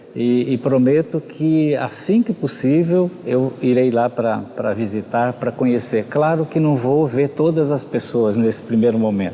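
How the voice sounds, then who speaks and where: A man talks at a fairly slow pace in a medium pitch, with very even loudness. Noticeable background noise runs underneath. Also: ordinary pitch variation. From Brazil, São Paulo (born in Rio de Janeiro state). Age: 60s. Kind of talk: interview.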